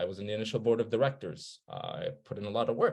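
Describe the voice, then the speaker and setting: The background stays quiet. A man delivers his words at a fairly quick pace. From Turkey. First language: Turkish. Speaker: researcher. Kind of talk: presentation. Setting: webinar.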